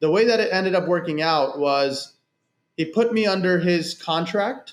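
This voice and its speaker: This man has a high pitch with ordinary variation, keeping a moderate pace and very even loudness. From United States, child of Pakistani immigrants. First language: Urdu or other Pakistani language. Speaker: insurance entrepreneur. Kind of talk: podcast interview.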